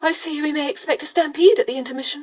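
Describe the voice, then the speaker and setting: Using a put-on character voice, a woman sounds raspy and squeaky at a high pitch, talking very fast with lively intonation. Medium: read story. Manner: hushed, whispering.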